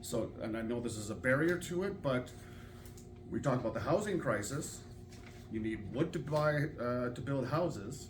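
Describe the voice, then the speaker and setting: A man with a Canadian accent speaks at a medium pitch in a somewhat breathy voice, with audible room echo. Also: lively intonation, moderate pace. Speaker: audience member asking a question. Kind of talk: public Q&A question. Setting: public hall with audience. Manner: halting.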